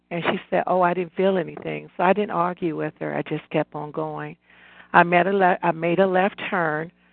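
A woman speaks in a normal speaking voice at a fairly low pitch and a moderate pace. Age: 60s. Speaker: caller. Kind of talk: testimony.

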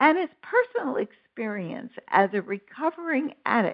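A woman with an American accent speaks at a very slow pace. Her pitch swings very widely. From New York. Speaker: internet radio host. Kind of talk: interview; scripted narration.

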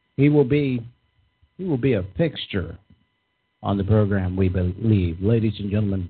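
A man with a fairly low pitch talks at a moderate pace, with ordinary pitch variation and long, frequent pauses. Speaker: radio host. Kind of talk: live talk radio show with political banter. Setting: studio.

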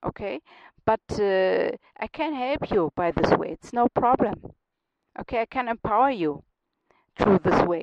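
Someone with a German accent speaks at a fairly slow pace with lively intonation, the sound dry and close with no echo. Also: woman. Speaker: radio host and life coach. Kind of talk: radio show monologue. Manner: halting, with fillers and restarts.

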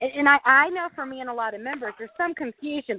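A woman speaks with a Southern US accent. Her pitch varies in an ordinary way. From Arkansas, US South. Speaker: exterior washing business owner.

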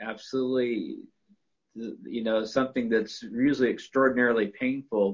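A man talks in a medium pitch at a moderate pace, his intonation monotone and flat.

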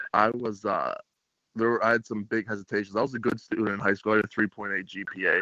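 A man with an American accent, a normal speaking voice, medium pitch and a fairly quick pace. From Pittsburgh, US. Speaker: college football player. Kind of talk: interview.

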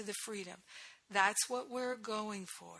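A woman's fairly high voice, a normal speaking voice, with ordinary pitch variation. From US Northeast (Rhode Island). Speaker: spiritual teacher, podcast host. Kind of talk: spiritual teaching talk. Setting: recording from abroad on vacation.

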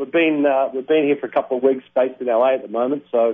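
With an Australian accent, the speaker moves at a fairly quick pace. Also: man. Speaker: e-commerce entrepreneur. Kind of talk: interview. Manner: halting.

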